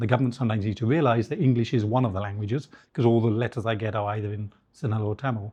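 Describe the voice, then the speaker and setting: A somewhat breathy man with a dark, mellow tone talks at a very fast pace. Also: medium pitch for a man, fairly even intonation. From England. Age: 60s. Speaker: headhunter and business founder. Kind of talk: interview conversation.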